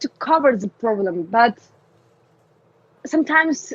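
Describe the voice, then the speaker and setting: Her voice sits high for a woman and swings very widely in pitch. She speaks at a fairly slow pace, and the sound is dry and close with no echo. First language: Russian. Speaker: community manager for a game. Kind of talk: podcast interview. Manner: halting, many fillers; animated.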